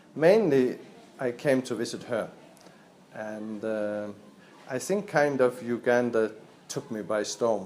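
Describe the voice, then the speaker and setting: At a very slow pace, a man speaks in a Danish accent. His pitch is medium, with ordinary pitch variation. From Denmark. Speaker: volunteer. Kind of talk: documentary interview.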